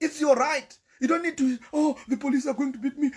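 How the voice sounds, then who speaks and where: Speaking very fast with a Zimbabwean accent, a man uses an extremely high pitch and ordinary pitch variation. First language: Shona. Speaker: political commentator. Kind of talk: live-stream political monologue. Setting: live stream. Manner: animated. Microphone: volume problems early on.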